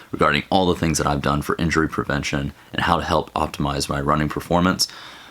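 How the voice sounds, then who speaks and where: Noticeable background noise surrounds a man who speaks very fast in a very deep, low voice with fairly even intonation. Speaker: fitness vlogger, marathon runner. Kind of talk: casual vlog.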